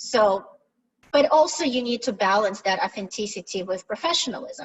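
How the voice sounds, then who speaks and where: A woman with a fairly high pitch and a Russian accent. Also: lively intonation, moderate pace. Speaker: product management director. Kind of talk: webinar presentation. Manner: direct.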